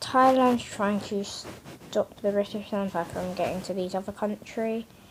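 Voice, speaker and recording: At a fairly slow pace, a woman speaks in a somewhat breathy, medium-pitched voice with fairly even intonation. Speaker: mapping video creator. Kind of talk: casual commentary over map scenario. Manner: halting, repetitive filler.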